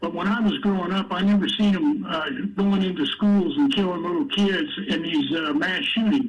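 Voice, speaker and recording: Amid noticeable background noise and audible room echo, a man with a high-pitched voice speaks with lively intonation and hardly any pauses. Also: moderate pace. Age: 70s. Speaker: discussion participant, Vietnam veteran. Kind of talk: group discussion.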